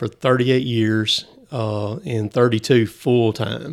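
The speaker has a Southern US accent. Pitch varies in an ordinary way. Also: man. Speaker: logger. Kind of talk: casual chat.

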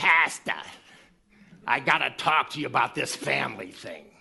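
Raspy and low-to-middle in pitch, this put-on character voice comes with a New England accent. The pace is moderate. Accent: swamp Yankee.

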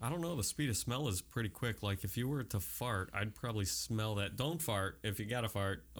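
Fairly quick and lively in intonation, a man's fairly low voice carries vocal fry at a very even loudness. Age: 30s. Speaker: podcast host. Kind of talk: casual chat.

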